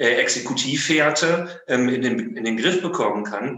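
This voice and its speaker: This man speaks at a very slow pace, at a medium pitch, with ordinary pitch variation. Audible room echo surrounds his voice. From Germany, Münster (Westphalia). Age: 40s. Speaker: lawyer. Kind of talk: interview. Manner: halting, many fillers.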